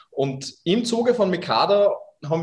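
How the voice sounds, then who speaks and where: There is a somewhat breathy quality to this man's voice. Pitch moves in an ordinary way. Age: 30s. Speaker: startup founder. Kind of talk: interview. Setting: video call from home kitchen.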